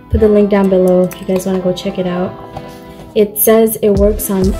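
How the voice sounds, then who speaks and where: Clear music can be heard underneath. A woman does the talking. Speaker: vlogger. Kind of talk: casual vlog chat. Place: home room. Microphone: phone near.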